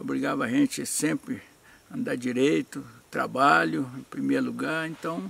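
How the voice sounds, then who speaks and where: A man talks at a fairly slow pace. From Minas Gerais, Brazil (Zona da Mata, Recreio). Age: 60s. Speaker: retired amateur footballer. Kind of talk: interview testimony. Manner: halting, with repetitions.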